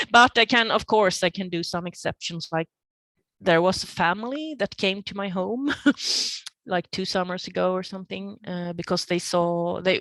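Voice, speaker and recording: A woman with a Swedish accent speaks at a moderate pace with ordinary pitch variation, her voice dry and close with no echo against a quiet background. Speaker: painter. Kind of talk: interview. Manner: halting.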